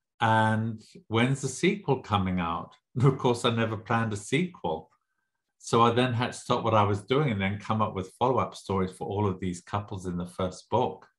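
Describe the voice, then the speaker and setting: A man speaks at a moderate pace in a somewhat breathy, medium-pitched voice with ordinary pitch variation against a quiet background. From Southern Africa (Zimbabwe). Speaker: author. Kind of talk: interview.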